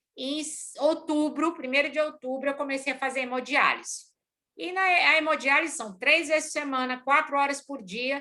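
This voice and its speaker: A woman speaks at a moderate pace in a raised, projected voice, her high pitch carrying a bright, sharp tone. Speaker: organizational consultant and lecturer. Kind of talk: lecture. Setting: video call. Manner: energetic.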